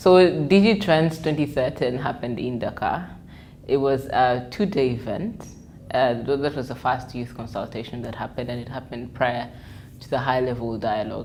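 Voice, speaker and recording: In a space with audible room echo, a woman with a very deep, low pitch talks at a moderate pace, with ordinary pitch variation and big swings in loudness. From Uganda. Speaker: journalist and digital media consultant. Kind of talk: interview monologue. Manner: hesitant, many fillers.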